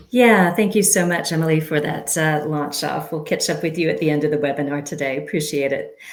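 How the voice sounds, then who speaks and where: Fairly quick speech from a woman with a very deep, low pitch and hardly any pauses, against noticeable background noise. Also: ordinary pitch variation. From United States. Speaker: sustainability trainer. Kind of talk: webinar presentation.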